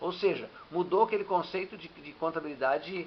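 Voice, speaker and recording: The speaker is a man with a high pitch. He keeps a moderate pace and fairly even intonation. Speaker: teacher. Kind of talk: lecture. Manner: halting.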